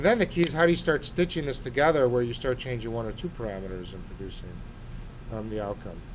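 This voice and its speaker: A man talks at a very fast pace with a medium pitch and ordinary pitch variation. Audible room echo surrounds his voice. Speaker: architecture instructor. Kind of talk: tutorial.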